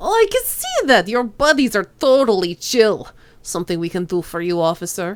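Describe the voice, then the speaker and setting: A woman's put-on character voice at medium pitch and a moderate pace. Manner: casual, amused.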